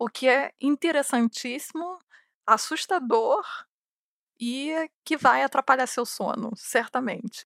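On a very clean recording with a silent background and a dry, close sound with no echo, a woman with a Carioca accent speaks at a very slow pace and high pitch with ordinary pitch variation. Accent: carioca (Rio) accent, noticeable. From Brazil, Rio de Janeiro. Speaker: podcast host, newsletter writer. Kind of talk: casual monologue answering listener questions.

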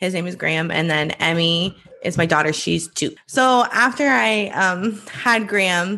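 Bright, sharp tone with an American accent at a fairly slow pace. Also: woman. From US Midwest, small-town Iowa. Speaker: writer and media founder. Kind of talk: interview. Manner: halting, many fillers.

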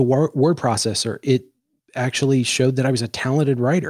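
An unremarkable speaking voice from a man, medium in pitch, with fairly even intonation and a fairly quick pace, on a very clean recording with a silent background. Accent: American. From Washington, D.C. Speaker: podcast host. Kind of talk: casual chat.

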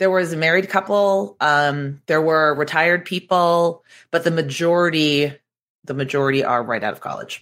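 Speaking at a moderate pace with an American accent, a woman uses a very deep, low pitch and ordinary pitch variation, on a very clean recording with a silent background. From Boston, US. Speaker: digital marketing expert and author. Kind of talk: casual interview chat.

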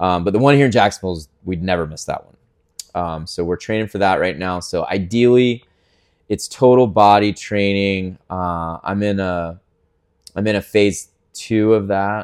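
An unremarkable speaking voice from a man with an American accent, fairly low in pitch with ordinary pitch variation, at a moderate pace and with big swings in loudness. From US South. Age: 40s. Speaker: fitness gym owner. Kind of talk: interview.

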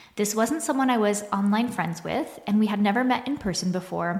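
A somewhat breathy woman's voice at medium pitch. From Quebec, Canada (small town). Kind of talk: solo podcast monologue.

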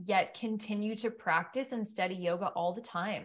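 Somewhat breathy, a woman with a Canadian accent speaks at a medium pitch and moderate pace with ordinary pitch variation. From Ottawa, Canada. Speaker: yoga teacher. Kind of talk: casual chat.

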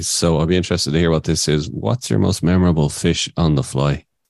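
This man has a very deep, low voice and an Irish accent, with ordinary pitch variation. The sound is dry and close, with no echo. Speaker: podcast host. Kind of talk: casual chat.

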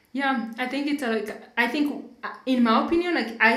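Her pitch rises and falls in an ordinary way. Background noise is clearly audible in the clip. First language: not English (English is third language). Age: 30s. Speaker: podcast host. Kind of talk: casual conversational podcast.

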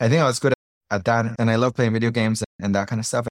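A man with a Spanish accent talks at a very fast pace in a medium pitch. The recording is very clean with a silent background and a dry, close sound with no echo. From Colombia. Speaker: startup founder and CEO. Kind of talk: casual interview conversation.

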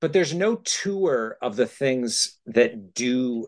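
A man with an American accent talks at a medium pitch. His voice moves in very wide pitch swings. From central New York. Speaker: scientist and travel writer. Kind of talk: casual chat.

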